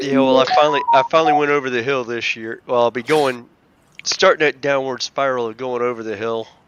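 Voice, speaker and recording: Fairly quick pacing and fairly even intonation in a normal speaking voice. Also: man, medium pitch for a man. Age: 50s. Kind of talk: casual chat.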